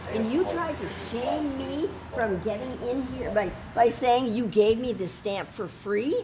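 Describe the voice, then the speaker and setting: Noticeable background noise runs under this recording. A woman speaks at a fairly slow pace and a fairly high pitch. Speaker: citizen journalist and protester. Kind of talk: heated confrontation. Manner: loud; animated.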